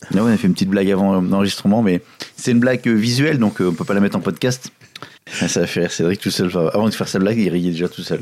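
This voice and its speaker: Very fast speech comes from a man whose pitch is fairly low. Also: ordinary pitch variation. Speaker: tech podcast co-host. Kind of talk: casual chat. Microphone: new equipment.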